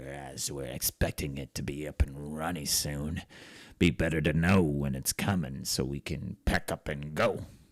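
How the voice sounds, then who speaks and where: A man puts on a character voice, very deep and low in pitch, at a fairly slow pace with a dry, close sound and no echo. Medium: actual play.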